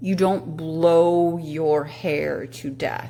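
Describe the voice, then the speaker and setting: This woman's voice sits at a very deep, low pitch. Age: 60s. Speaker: product reviewer. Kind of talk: casual product review. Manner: halting.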